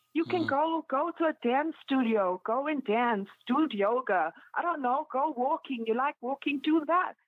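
A woman with a high-pitched voice speaks at a moderate pace. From South Africa, Pietermaritzburg. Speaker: fitness influencer. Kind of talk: casual interview. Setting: phone or video call.

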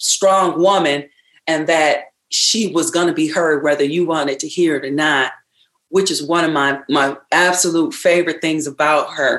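An American accent marks this woman's speech. Her pitch is fairly low, and her pace is moderate. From rural Michigan (Ravenna). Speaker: singer. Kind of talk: interview.

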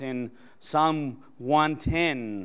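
A man with a Spanish accent and a fairly high voice, ordinary pitch variation, on a very clean recording with a silent background. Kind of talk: sermon. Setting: church.

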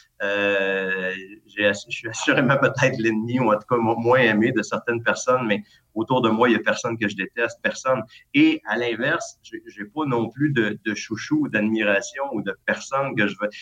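An unremarkable speaking voice with ordinary pitch variation, delivered at a moderate pace. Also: man, medium pitch for a man. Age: 40s. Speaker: school administrator. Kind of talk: casual interview.

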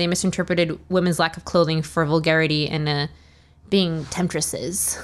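A woman with a fairly low pitch and fairly even intonation speaks in a normal speaking voice. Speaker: podcast host. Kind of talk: scripted narration.

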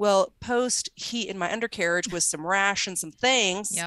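Heard with a dry, close sound and no echo, a woman with an ordinary speaking voice talks at medium pitch with ordinary pitch variation. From Arizona. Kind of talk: casual interview.

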